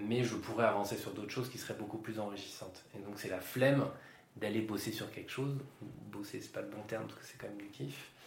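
Against noticeable background noise and audible room echo, a man speaks at a fairly quick pace with a fairly low pitch, ordinary pitch variation and big swings in loudness. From Yvelines, France. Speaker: podcast host and public speaking trainer. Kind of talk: casual interview chat.

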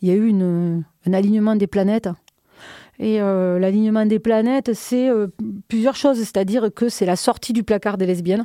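Speaking at a moderate pace with long, frequent pauses, a woman has a medium pitch, a dark, mellow tone, fairly even intonation and very even loudness. The very clean recording has a silent background and a dry, close sound with no echo. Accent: southern French. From southern France, Minervois near Carcassonne. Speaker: club night organizer. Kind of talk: casual interview.

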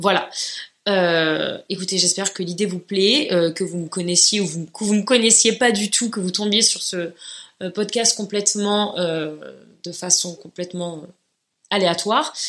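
In a fairly even tone, a woman with an ordinary speaking voice talks at medium pitch and a fairly slow pace. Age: 30s. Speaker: podcaster and YouTuber. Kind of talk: solo podcast monologue, casual.

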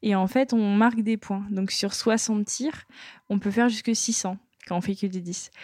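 Somewhat breathy, a woman speaks at a medium pitch and a fairly slow pace with fairly even intonation. The recording is very clean, with a silent background. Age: 20s. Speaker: sport shooter. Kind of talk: interview.

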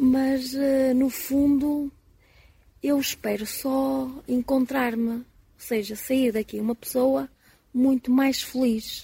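A woman speaks very slowly in a high voice with monotone, flat intonation. Her speech has long, frequent pauses. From Portugal, Porto. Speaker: pilgrim. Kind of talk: live radio interview.

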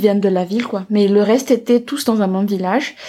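A woman speaks at a moderate pace with medium pitch. Her tone is dark and mellow, and her intonation fairly even. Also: very clean recording, silent background. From Madagascar, outskirts of Antananarivo. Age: 20s. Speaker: business school student. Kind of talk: interview about her culture. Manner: hesitant, many fillers.

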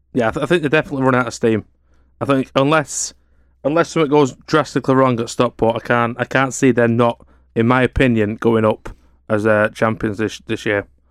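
At a fairly quick pace, a man talks in a normal speaking voice of medium pitch. The sound is dry and close, with no echo. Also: ordinary pitch variation. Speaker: football podcaster. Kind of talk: casual sports debate.

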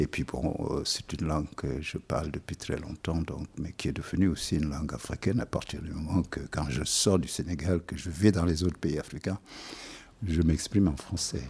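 A man with a very deep, low pitch and vocal fry talks at a moderate pace with ordinary pitch variation. The recording is very clean, with a silent background. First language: Wolof (speaking French). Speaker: musician. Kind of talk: interview.

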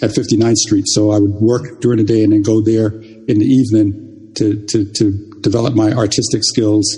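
A man speaks at a fairly slow pace in a fairly low pitch. His tone is dark and mellow, and somewhat breathy. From Jamaica. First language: Jamaican Patois. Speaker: software engineer and artist. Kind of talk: interview conversation. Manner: halting, repeats words.

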